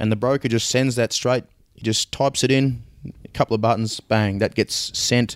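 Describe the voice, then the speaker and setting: Fairly quick speech comes from a man with an Australian accent. The sound is dry and close, with no echo. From Australia, Swan Hill, Victoria. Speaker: agricultural blockchain startup CEO. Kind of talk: interview.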